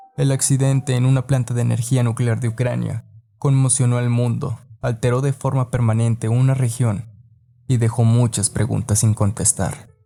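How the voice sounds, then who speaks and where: At a moderate pace, a man with a medium pitch talks in a monotone, flat intonation and very even loudness. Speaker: podcast narrator. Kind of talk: podcast history narration.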